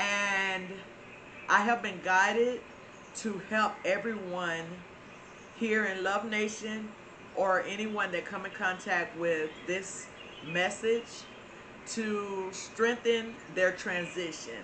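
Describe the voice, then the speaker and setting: A woman's very slow speech in a Southern US accent at a medium pitch, with long, frequent pauses, audible room echo, and noticeable background noise. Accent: Florida southern. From Florida, US South. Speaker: spiritual channel host. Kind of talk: spiritual talk to viewers. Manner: hesitant with frequent fillers.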